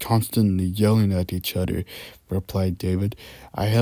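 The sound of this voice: Here is an unforced reading voice with fairly even intonation.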